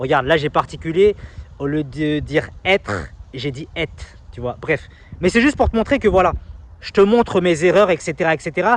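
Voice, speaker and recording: A man talks at a moderate pace with lively intonation and big swings in loudness. His pauses are long and frequent. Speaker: self-help YouTuber and coach. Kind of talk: casual vlog monologue. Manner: quiet.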